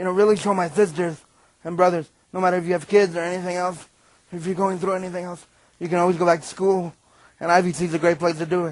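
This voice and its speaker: A man with a high voice, very fast but with long, frequent pauses, in a monotone, flat intonation. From New York. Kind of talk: inspirational talk to students. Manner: breathy at times.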